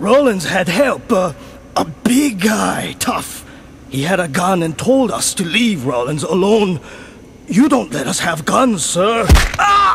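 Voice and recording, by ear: In a cartoonish character voice, a man speaks fairly slowly and high, his pitch swinging very widely, against clear background noise.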